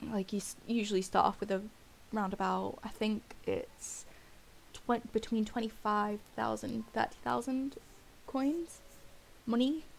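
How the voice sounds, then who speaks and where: A somewhat breathy woman talks at a fairly slow pace with long, frequent pauses and ordinary pitch variation. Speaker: gaming video creator. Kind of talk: gameplay commentary. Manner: hesitant, many fillers.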